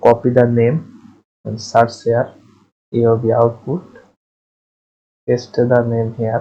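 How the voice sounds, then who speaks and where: At a very slow pace, a man speaks in a somewhat breathy, medium-pitched voice. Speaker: 3D software tutorial maker. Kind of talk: screen-recorded software tutorial.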